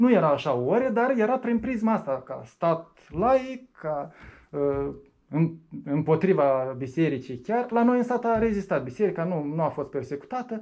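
Against a quiet background, a man with a high pitch talks at a fairly slow pace, his pitch swinging very widely. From Moldova. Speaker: atheist activist; interviewee. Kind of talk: interview. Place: meeting room.

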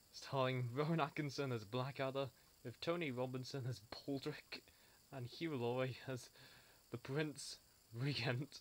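A man with a medium pitch talks at a fairly slow pace with fairly even intonation.

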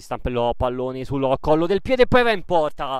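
A man speaks at a moderate pace with ordinary pitch variation. His is a plain, everyday voice. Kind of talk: live sports commentary.

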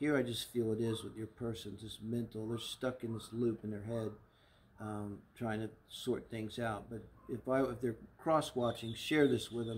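A somewhat breathy man's voice in a monotone, flat intonation, at a moderate pace. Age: 60s. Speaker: tarot reader and astrologer; tarot reader. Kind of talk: tarot reading monologue; casual reading commentary. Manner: casual, with frequent fillers. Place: garden.

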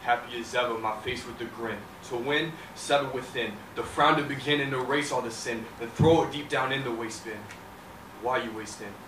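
A man at a moderate pace and medium pitch, with fairly even intonation amid noticeable background noise. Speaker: talent show performer. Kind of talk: spoken word poetry performance. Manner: rhythmic, dramatic delivery. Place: stage.

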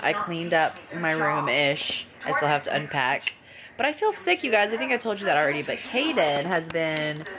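A woman speaks at a moderate pace with a fairly low pitch. Noticeable background noise runs underneath. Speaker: vlogger. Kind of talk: casual vlog chat. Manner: sick, low-energy voice lying in bed. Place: home room. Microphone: phone near.

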